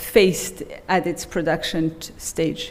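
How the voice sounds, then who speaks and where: A woman at a very slow pace with audible room echo. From Belgium. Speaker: economics professor. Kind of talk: keynote lecture. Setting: conference stage with audience.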